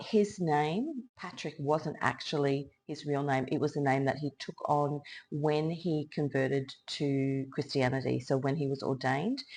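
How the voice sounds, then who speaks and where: A woman with an Australian accent, very deep and low, fairly slow and even, hardly any pauses, quiet background. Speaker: tarot reader and illustrator. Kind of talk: tarot reading monologue.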